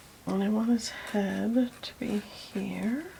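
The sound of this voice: A soft-spoken woman at medium pitch, dark and mellow in tone, with vocal fry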